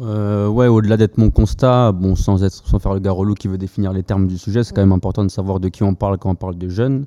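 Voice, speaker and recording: The sound is dry and close, with no echo. A man's fairly low voice has a dark, mellow tone and fairly even intonation. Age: 20s. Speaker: education nonprofit co-founder. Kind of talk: casual chat. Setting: studio.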